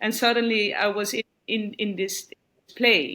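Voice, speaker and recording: This is a woman's voice at a medium pitch. The tone comes across bright and sharp. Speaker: retreat participant. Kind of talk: testimonial interview. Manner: halting, with repetitions.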